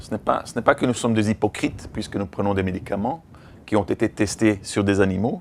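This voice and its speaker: At a fairly quick pace, a man with a non-native accent speaks at a fairly low pitch with ordinary variation. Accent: foreign accent in French. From Belgium, raised in Africa. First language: English (speaking French). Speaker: veterinarian and activist trainer. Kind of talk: lecture. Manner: halting.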